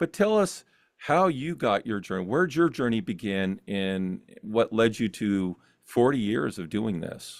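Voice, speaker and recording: On a very clean recording with a silent background, a man at medium pitch speaks at a fairly slow pace with very wide pitch swings. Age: 60s. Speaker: talk show host. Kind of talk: interview. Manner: halting.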